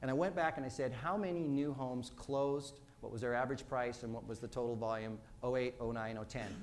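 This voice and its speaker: Words come at a very fast pace with ordinary pitch variation and audible room echo. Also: man, medium pitch for a man. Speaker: mortgage lending speaker. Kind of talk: business presentation. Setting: stage with audience.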